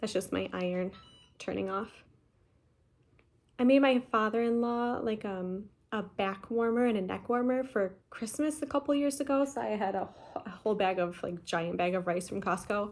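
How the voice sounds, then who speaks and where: A woman mumbles at a moderate pace in a fairly high pitch. Her pitch varies in an ordinary way. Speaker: cross-stitch vlogger. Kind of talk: casual chat. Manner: mumbling.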